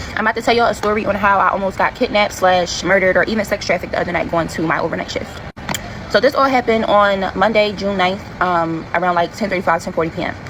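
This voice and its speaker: Very fast speech with ordinary pitch variation against noticeable background noise. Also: woman, medium pitch for a woman. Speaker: TikTok storyteller. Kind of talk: storytime monologue. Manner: detailed, rambling.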